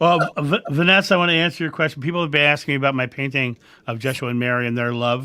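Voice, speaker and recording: This man has an American accent and a fairly high pitch. He speaks at a very fast pace with ordinary pitch variation. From Delaware, US. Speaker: channel host, former performer. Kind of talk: casual chat. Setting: live stream.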